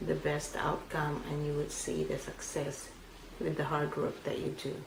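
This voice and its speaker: In a Filipino accent, a woman speaks at a moderate pace amid noticeable background noise and audible room echo. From Philippines. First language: Filipino language. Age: 50s. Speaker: immigrant interviewee. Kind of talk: oral history interview.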